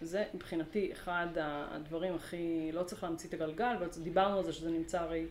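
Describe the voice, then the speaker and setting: The woman moves at a fairly quick pace, with noticeable background noise in the recording. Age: 40s. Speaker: organizational learning consultant. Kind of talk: interview. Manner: animated.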